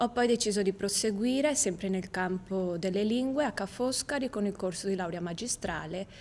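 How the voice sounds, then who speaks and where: Light background noise runs under a woman's voice. She talks at a moderate pace with ordinary pitch variation. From Italy, Venice; Italy. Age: 20s. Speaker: university student. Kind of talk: video CV self-presentation. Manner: slightly halting, with fillers. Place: studio.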